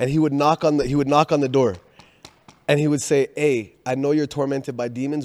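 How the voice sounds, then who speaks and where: A man's voice at a fairly quick pace, with ordinary pitch variation and big swings in loudness. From Canada, Haitian family. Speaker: missionary. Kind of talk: casual chat. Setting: studio. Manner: animated.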